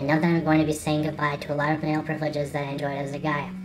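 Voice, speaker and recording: Amid audible room echo and background music, a woman talks at a very fast pace in a very deep, low pitch. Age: 20s. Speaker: vlogger. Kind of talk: personal vlog monologue.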